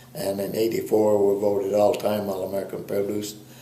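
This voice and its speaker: The voice moves at a moderate pace with monotone, flat intonation. Audible room echo and noticeable background noise fill the recording. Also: man. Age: 70s. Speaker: dairy cattle breeder. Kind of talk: interview. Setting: on a farm.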